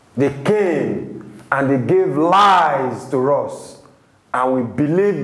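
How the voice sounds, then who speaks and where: A man's voice carries audible room echo. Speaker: TV presenter and preacher. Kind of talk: sermon. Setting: studio. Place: studio.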